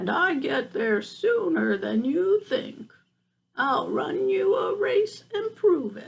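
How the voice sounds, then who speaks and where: A woman uses a put-on character voice with an extremely high pitch. She speaks at a very slow pace. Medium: read story.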